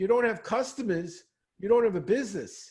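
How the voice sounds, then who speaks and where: A man talks at a fairly quick pace with an American accent. His pitch varies in an ordinary way. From New York, Brooklyn. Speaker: speed reading and learning trainer. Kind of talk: Q&A on a video call.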